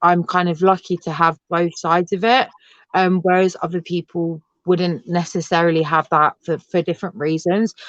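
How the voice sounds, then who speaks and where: With a London accent, a woman speaks at a moderate pace in a fairly low, monotone, flat voice, the sound dry and close with no echo over a quiet background. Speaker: adoptee and assistant ranger. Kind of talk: interview. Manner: hesitant, many fillers; loud.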